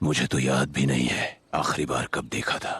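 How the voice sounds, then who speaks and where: Using a put-on character voice, a man growls out raspy, very deep, low tones at a moderate pace. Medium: fan dub. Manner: gentle, reminiscing.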